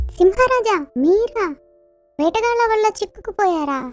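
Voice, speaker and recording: In a cartoonish character voice, a female-sounding speaker talks at an extremely high pitch with faint music in the background. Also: fairly slow pace. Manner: fast, excitable, repeats words.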